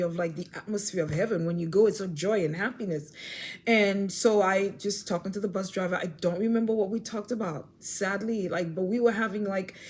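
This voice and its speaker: Somewhat breathy, a woman at medium pitch talks at a fairly quick pace with fairly even intonation. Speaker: faith vlogger. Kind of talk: personal testimony. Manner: fast; halting with many repetitions.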